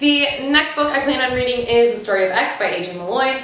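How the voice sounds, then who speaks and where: At a moderate pace, a woman with a fairly high pitch speaks with lively intonation, with audible room echo and noticeable background noise. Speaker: booktuber. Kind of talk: casual vlog talk to camera.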